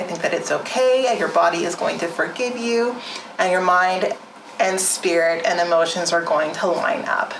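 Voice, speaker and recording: Amid audible room echo and noticeable background noise, a woman speaks at a moderate pace and medium pitch with ordinary pitch variation. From rural area. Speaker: wellness vlogger, nonprofit founder. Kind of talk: casual vlog monologue. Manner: casual, filler-heavy.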